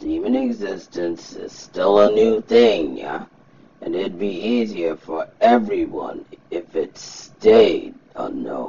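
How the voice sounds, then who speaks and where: The pace is fairly slow. A man puts on a character voice. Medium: fan dub. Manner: casual, offhand, slightly dismissive.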